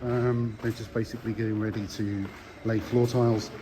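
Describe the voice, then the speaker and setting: A man's voice over noticeable background noise. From Birmingham, England. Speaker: distillery staff giving site tour. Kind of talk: walking site tour voice-over. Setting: outdoors construction site with background noise. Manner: casual, conversational.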